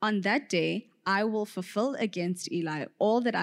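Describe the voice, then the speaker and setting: A woman talks in a normal speaking voice at a fairly slow pace, with ordinary pitch variation. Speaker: scripture reader. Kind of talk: reading aloud.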